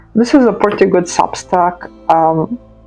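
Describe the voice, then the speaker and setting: A woman with a non-native accent and a medium pitch speaks at a moderate pace over music in the background. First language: not English. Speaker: journaling vlogger. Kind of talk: casual chat. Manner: hesitant, filler-heavy.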